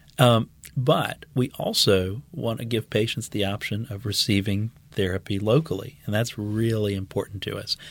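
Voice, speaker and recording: At a moderate pace, a man talks in a somewhat breathy voice with a fairly low pitch. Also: ordinary pitch variation. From Louisiana (New Orleans West Bank). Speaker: medical oncologist. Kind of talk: podcast interview.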